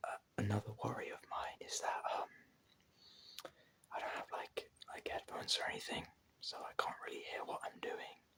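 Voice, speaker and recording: In a whisper, someone talks at a moderate pace, pausing long and often. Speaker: ASMR content creator. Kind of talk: ASMR whispered casual talk. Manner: whispering; halting, many fillers.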